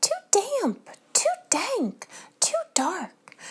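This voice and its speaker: In a put-on character voice, a woman squeaks at an extremely high pitch with very wide pitch swings. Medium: read story.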